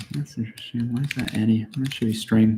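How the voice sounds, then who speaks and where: A put-on character voice from a man, mumbling at a fairly quick pace and medium pitch. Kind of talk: casual, thinking aloud.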